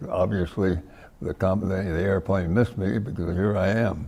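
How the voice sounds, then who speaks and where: With a very deep, low pitch and a dark, mellow tone, a man with an American accent sounds somewhat breathy and uses ordinary pitch variation. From US West Coast (California). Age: 90s. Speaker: war veteran. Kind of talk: interview. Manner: halting.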